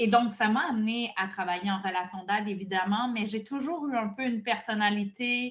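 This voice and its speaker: In a Quebec accent, a somewhat breathy voice moves at a moderate pace with ordinary pitch variation and hardly any pauses. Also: woman, fairly high pitch for a woman. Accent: Québécois French. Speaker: burnout prevention coach and therapist. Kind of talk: podcast interview.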